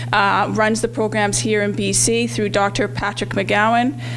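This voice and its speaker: Noticeable background noise is audible throughout. The talking goes at a moderate speed. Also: woman. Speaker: health program trainer. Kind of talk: presentation at community event. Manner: loud; halting, many fillers.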